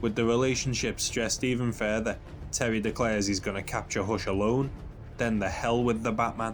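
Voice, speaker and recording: A man talks at a fairly quick pace in a medium pitch, his loudness very even and his intonation monotone and flat, with music in the background. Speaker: comic book reviewer. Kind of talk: video essay commentary. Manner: quieter than usual.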